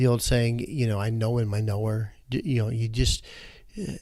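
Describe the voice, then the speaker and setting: In an American accent, a man talks at a medium pitch and a moderate pace. His tone is dark and mellow, and somewhat breathy. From Michigan. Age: 60s. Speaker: nonprofit CEO. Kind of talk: interview. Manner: conversational.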